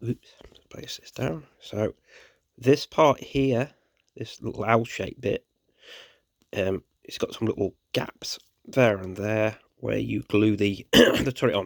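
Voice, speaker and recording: Vocal fry marks a man's fairly low voice, which moves at a very slow pace with long, frequent pauses. His loudness swings widely, and the sound is dry and close with no echo. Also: ordinary pitch variation. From England. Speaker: tabletop wargaming hobbyist. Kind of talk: casual hobby tutorial talk.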